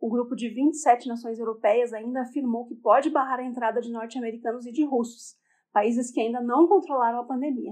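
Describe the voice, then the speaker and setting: A woman's voice is high in pitch. She moves through her words at a fairly quick pace. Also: big swings in loudness. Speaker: podcast news host. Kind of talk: news reading. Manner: upbeat.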